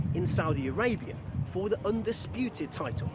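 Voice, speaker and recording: A man's pitch rises and falls very widely while noticeable background noise plays underneath. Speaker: sports presenter. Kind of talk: live sports broadcast report.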